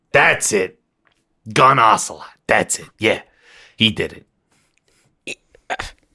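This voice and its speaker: A man in a raspy put-on character voice at medium pitch, at a very slow pace with long, frequent pauses and big swings in loudness. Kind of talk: comic character impression. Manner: rambling, folksy, digressive, full of 'you know'.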